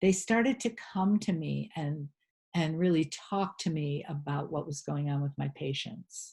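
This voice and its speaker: The voice carries a dark, mellow tone and is somewhat breathy, in an American accent. The recording is very clean, with a silent background. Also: woman. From rural New England, USA. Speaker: holistic health practitioner and spiritual teacher. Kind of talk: interview answer.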